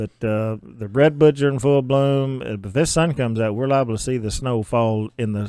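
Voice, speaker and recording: A man with an Ozark accent talks at a moderate pace in a medium pitch, his tone dark and mellow, with hardly any pauses. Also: ordinary pitch variation. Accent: Ozark southern US. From Arkansas, Ozarks. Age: 60s. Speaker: county judge. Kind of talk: radio interview.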